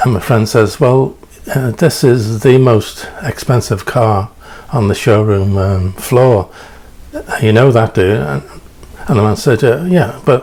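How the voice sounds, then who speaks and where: Amid noticeable background noise, a man at medium pitch with a slight English accent speaks at a fairly slow pace, with long, frequent pauses, lively intonation and very even loudness. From England. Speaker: preacher. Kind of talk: storytelling sermon. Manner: halting, many fillers.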